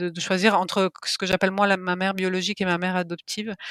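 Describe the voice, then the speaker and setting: A woman with a slight Italian accent, medium pitch, monotone, flat intonation and a very fast pace, in a dry, close sound with no echo and a very clean recording with a silent background. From Italy. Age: 30s. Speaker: novelist. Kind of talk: interview.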